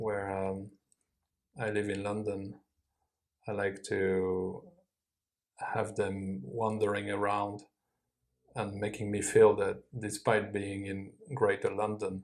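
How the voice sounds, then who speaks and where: Someone with a French accent speaks at a very slow pace. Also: man. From France, Paris suburbs. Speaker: IELTS mock test candidate. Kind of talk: exam interview answers. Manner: hesitant, many fillers.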